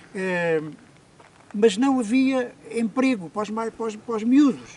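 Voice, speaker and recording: A high-pitched man at a fairly slow pace, ordinary pitch variation, noticeable background noise. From Portugal, Alegrete (Alto Alentejo). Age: 80s+. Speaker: interviewee, former muleteer. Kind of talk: life story interview. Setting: outdoors in the hills. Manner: halting, repetitive.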